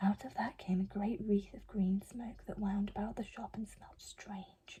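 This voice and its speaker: Soft-spoken, the speaker talks at a fairly quick pace. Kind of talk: bedtime story reading.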